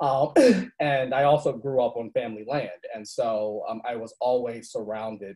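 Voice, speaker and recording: A man at medium pitch with fairly even intonation, on a very clean recording with a silent background. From US South, Virginia. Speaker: university staff director. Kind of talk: personal storytelling panel. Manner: halting.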